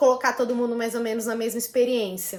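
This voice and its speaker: This is a woman speaking. Her voice sits at a high pitch. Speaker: lawyer and volunteer law lecturer. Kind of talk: career advice talk.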